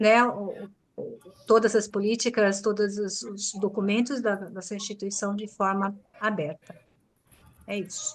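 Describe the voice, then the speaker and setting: A woman speaks at a fairly slow pace in a medium pitch, with long, frequent pauses. Her intonation stays fairly even. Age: 60s. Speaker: scout leadership candidate. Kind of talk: panel interview answer. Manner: halting, with repetitions.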